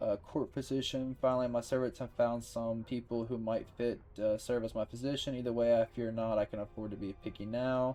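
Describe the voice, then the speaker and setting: A man speaks at a fairly quick pace, his pitch medium and his tone dark and mellow. His intonation stays monotone and flat. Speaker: gaming video creator. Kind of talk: let's play commentary. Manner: halting, many fillers.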